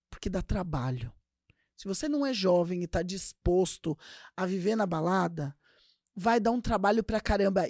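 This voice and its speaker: On a very clean recording with a silent background and a dry, close sound with no echo, a woman speaks at medium pitch and a moderate pace in an animated tone with lively intonation. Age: 40s. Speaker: podcast host. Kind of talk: casual monologue.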